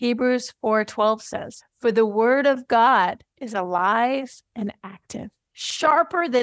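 There's a woman with an ordinary speaking voice and a fairly high pitch. The sound is dry and close, with no echo. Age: 40s. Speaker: podcast host and writing coach. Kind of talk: teaching talk.

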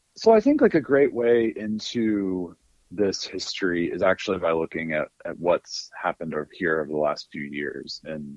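A man with an American accent at a moderate pace, in a dry, close sound with no echo. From US South, North Alabama. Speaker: history professor and author. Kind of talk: interview.

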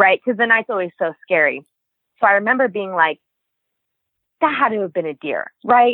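Moderate pace from a woman with an American accent, medium in pitch, with lively intonation and long, frequent pauses. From Nevada, US. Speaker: long-distance hiker. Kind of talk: interview.

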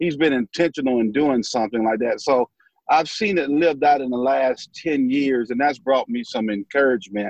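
Moderate pace in a Southern US accent, with ordinary pitch variation and a dry, close sound with no echo. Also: man, medium pitch for a man. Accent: Southern US (Georgia). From US South, southwest Georgia / north Florida line. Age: 50s. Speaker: pastor. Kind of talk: casual chat.

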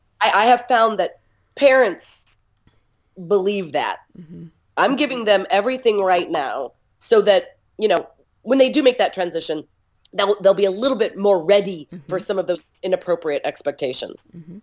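In a normal speaking voice, a woman of medium pitch talks at a moderate pace with lively intonation. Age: 50s. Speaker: early childhood education trainer. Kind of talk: casual chat.

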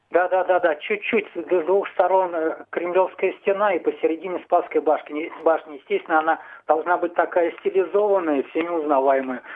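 At a moderate pace, a man with a high pitch keeps fairly even intonation and very even loudness. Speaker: radio host. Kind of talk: casual chat. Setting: studio. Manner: halting.

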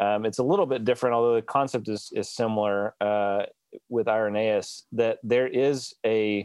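A man with an American accent and a plain, everyday voice, medium pitch, ordinary pitch variation and a moderate pace. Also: dry, close sound with no echo. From US South (Alabama). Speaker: theologian and podcast co-host. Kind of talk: casual theological discussion.

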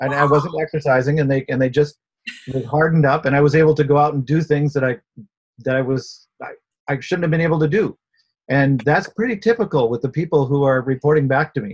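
Talking at a very fast pace, a man with fairly high pitch sounds somewhat breathy and uses ordinary pitch variation. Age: 60s. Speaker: inventor. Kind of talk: interview.

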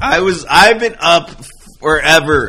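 A man speaks at a high pitch with lively intonation and an animated tone. Background noise is noticeable. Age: 40s. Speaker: podcast co-host. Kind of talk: casual chat. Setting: live stream.

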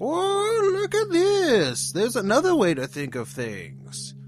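A man's put-on character voice at a fairly slow pace, with clear background noise. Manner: sly, pointing out another view.

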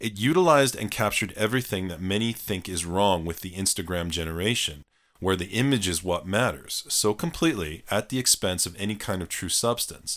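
A man with fairly low pitch and a plain, everyday voice talks at a fairly quick pace with hardly any pauses. The recording is very clean, with a silent background. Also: ordinary pitch variation. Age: 40s. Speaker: psychology podcast co-host, doctor. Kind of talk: casual chat.

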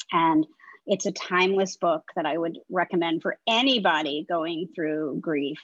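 A woman's plain, everyday voice, fairly low-pitched and fairly slow, with ordinary pitch variation, a dry, close sound with no echo, and a quiet background. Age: 50s. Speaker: communications consultant and author. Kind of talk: interview.

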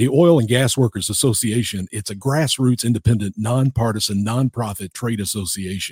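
Somewhat breathy and medium in pitch, a man talks at a moderate pace with hardly any pauses and ordinary pitch variation, in a dry, close sound with no echo. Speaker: radio host. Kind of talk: interview.

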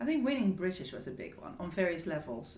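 A woman speaks very fast with a fairly low pitch and lively intonation against noticeable background noise. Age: 50s. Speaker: hairdresser and beauty executive. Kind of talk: interview. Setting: office.

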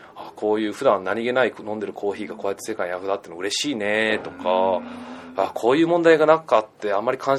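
Against noticeable background noise, a man with a fairly low pitch talks at a very fast pace, with lively intonation and big swings in loudness. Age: 20s. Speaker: backpacker and entrepreneur. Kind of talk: interview.

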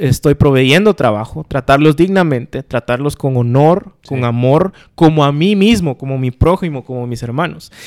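A man's plain, everyday voice, fairly high in pitch, at a moderate pace, with a dry, close sound and no echo. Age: 40s. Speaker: podcast co-host. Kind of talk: casual chat.

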